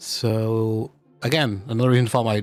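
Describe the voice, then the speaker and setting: Music plays behind a man whose voice is fairly low. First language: not English. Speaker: VTuber streamer. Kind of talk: casual chat. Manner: halting, many fillers.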